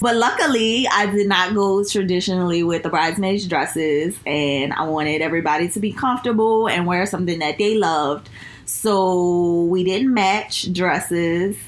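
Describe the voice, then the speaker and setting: Speaking with a New Orleans accent, a woman keeps a moderate pace at medium pitch with hardly any pauses and very even loudness, in audible room echo. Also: ordinary pitch variation. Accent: New Orleans Southern US. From New Orleans, US South. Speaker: recent bride, friend of host. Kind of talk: casual chat.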